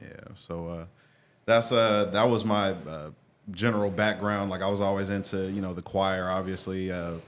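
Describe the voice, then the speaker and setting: A man with a fairly low pitch speaks in a monotone, flat intonation on a very clean recording with a silent background. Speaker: music artist and producer. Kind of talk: casual interview. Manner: fast.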